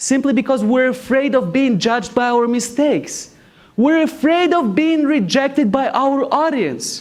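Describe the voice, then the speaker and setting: A man speaks at a moderate pace with a non-native accent, his pitch extremely high for a man and his loudness very even, with audible room echo around him. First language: not English. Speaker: graduate student presenter. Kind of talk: competition speech. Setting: stage with audience.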